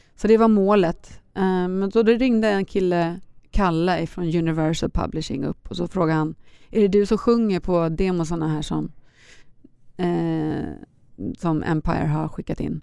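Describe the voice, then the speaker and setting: A woman's dark, mellow voice, fairly low in pitch, at a moderate pace with ordinary pitch variation. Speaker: pop singer and children's author. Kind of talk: casual interview chat.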